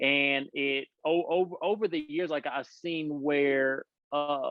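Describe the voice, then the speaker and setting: A man with a strong Louisiana accent talks at a very slow pace with fairly even intonation. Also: fairly high pitch for a man. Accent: heavy Louisiana country. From Louisiana, small country town. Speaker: former pastor, parenting coach. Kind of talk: podcast interview. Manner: halting, many repeated words.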